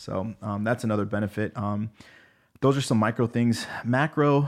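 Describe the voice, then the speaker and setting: On a very clean recording with a silent background, a man in a normal speaking voice talks at a fairly quick pace and medium pitch with ordinary pitch variation. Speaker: pharmacist and podcast host. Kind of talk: casual interview. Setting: studio.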